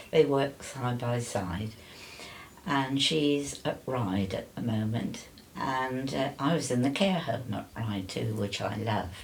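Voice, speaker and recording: Amid noticeable background noise and audible room echo, a woman with a very deep, low pitch speaks very slowly with lively intonation. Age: 80s+. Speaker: older interviewee sharing life story. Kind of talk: casual interview.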